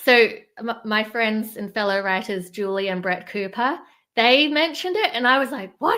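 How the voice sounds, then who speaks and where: A woman speaks at a moderate pace. Her fairly high voice has a bright, sharp tone. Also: lively intonation, very clean recording, silent background. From New Zealand, then Australia from 14. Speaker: fundraising writer. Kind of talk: interview.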